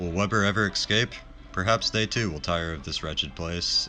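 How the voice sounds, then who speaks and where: A man speaks with music playing in the background. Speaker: game streamer. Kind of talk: gameplay commentary.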